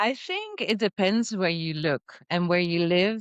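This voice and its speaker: A woman with a Dutch accent speaks at a very slow pace. Her voice sits fairly low, with ordinary pitch variation. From Netherlands. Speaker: entrepreneur. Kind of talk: podcast interview.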